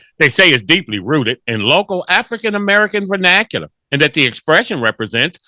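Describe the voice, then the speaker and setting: Bright and sharp in tone, a man speaks at a high pitch with very wide pitch swings, captured on a very clean recording with a silent background and a dry, close sound with no echo. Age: 60s. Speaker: radio host. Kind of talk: casual commentary.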